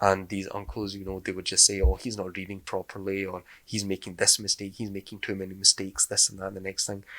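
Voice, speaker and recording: In a Glasgow accent, a man talks at a very fast pace with a fairly low pitch, monotone, flat intonation and big swings in loudness, in a dry, close sound with no echo. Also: hardly any pauses, very clean recording, silent background. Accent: Glasgow Scottish. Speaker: podcast host. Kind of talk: casual chat.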